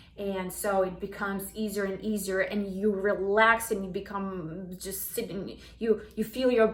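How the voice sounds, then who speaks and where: With a non-native accent, a woman talks fairly slowly at medium pitch with fairly even intonation, amid audible room echo. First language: not English. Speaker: self-help vlogger. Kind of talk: casual talk to camera. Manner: halting, many restarts.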